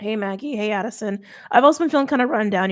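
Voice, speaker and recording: Speaking at a very fast pace, someone uses a raspy, put-on character voice. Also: woman, fairly high pitch for a woman. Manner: casual, friendly.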